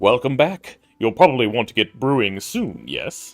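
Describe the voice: Faint music plays in the background as a man delivers a put-on character voice at a moderate pace. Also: medium pitch for a man.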